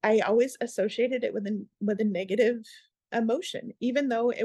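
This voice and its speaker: With an American accent and an ordinary speaking voice, a woman speaks at a moderate pace in a fairly high pitch, the sound dry and close with no echo over a quiet background. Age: 50s. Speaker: equine therapy instructor and former emergency dispatcher. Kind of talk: interview.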